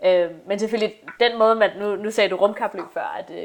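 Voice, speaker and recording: A woman speaks at a moderate pace. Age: 20s. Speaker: astronomy PhD student. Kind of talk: casual chat.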